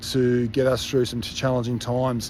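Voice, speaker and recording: Speaking at a fairly slow pace, a man talks in an Australian accent. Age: 50s. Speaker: fitness coach. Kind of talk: casual monologue to online community. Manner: halting, many filler words.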